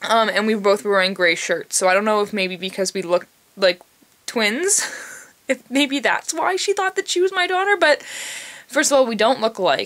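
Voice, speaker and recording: A woman speaks at a moderate pace in an animated tone. Her pitch swings very widely. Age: 20s. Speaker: vlogger. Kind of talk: casual chat. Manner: says like a lot.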